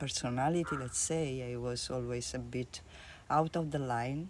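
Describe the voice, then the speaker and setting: A woman speaks with an Italian accent and a dark, mellow tone. Her pace is fairly slow, with ordinary pitch variation. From Italy. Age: 50s. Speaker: art therapist. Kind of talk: interview. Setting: at her home.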